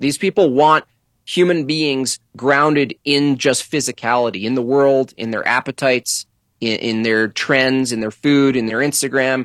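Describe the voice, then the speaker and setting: In a very clean recording with a silent background, a man with an unremarkable speaking voice talks at a moderate pace with medium pitch and fairly even intonation. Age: 40s. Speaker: political cartoonist. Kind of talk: casual chat.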